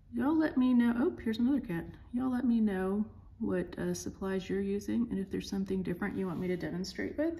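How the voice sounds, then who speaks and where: A woman speaks quietly at a fairly quick pace with a Southern US accent. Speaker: art teacher. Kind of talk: tutorial. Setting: pre-recorded at home.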